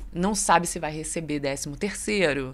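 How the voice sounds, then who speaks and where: A woman in a Rio de Janeiro accent, bright, sharp tone, ordinary pitch variation and fairly slow pace. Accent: Rio de Janeiro (fluminense). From Rio de Janeiro state interior, Barra Mansa. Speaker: journalist. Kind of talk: radio interview on news.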